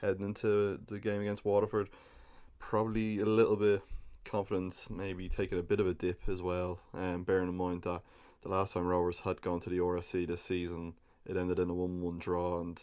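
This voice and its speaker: In an Irish accent, a man with a very deep, low pitch and a dark, mellow tone speaks at a fairly quick pace in a monotone, flat intonation, on a very clean recording with a silent background. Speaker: football podcast host. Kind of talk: casual podcast commentary. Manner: hesitant, many fillers.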